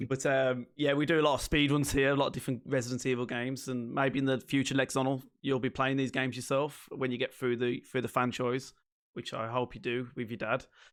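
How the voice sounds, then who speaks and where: At a fairly quick pace with hardly any pauses, a man speaks in a flat monotone at medium pitch. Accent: Liverpool. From northern England, Liverpool. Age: 30s. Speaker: streamer. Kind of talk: casual chat. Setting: live stream. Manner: fast.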